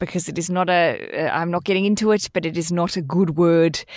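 A woman speaks with an Australian accent at a fairly low pitch. Her intonation is fairly even. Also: very clean recording, silent background. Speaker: podcast host and author. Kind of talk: casual chat.

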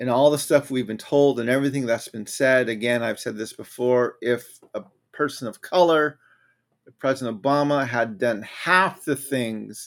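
A man with an American accent speaks at a fairly slow pace, his pitch medium and its variation ordinary. It's a plain, everyday voice on a very clean recording with a silent background. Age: 50s. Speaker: political commentator and author. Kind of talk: solo livestream commentary. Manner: casual, conversational.

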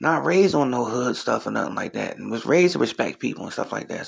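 A man with an American accent speaks amid noticeable background noise. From US Northeast (Trenton, New Jersey). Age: 40s. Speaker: comedian and podcast host. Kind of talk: casual solo commentary.

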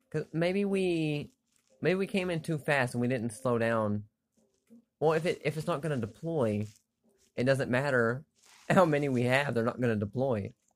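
A man's fairly high voice at a moderate pace, lively in intonation, with long, frequent pauses. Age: 40s. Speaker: gaming podcaster. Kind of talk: casual gameplay commentary.

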